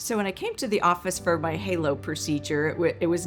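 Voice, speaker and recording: Music plays in the background as a woman with a fairly low pitch speaks at a fairly quick pace. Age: 60s. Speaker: patient giving a testimonial. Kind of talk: testimonial interview. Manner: casual, with frequent fillers.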